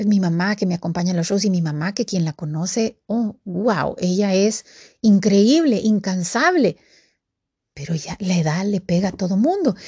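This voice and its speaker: At a fairly slow pace, a woman with a medium-pitched, somewhat breathy voice and a dark, mellow tone speaks with ordinary pitch variation over a quiet background. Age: 50s. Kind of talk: devotional talk. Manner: casual and conversational.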